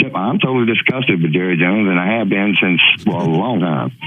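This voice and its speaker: A man with a fairly low pitch speaks amid audible room echo and noticeable background noise. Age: 60s. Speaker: sports radio caller. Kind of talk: call-in radio chat. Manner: halting.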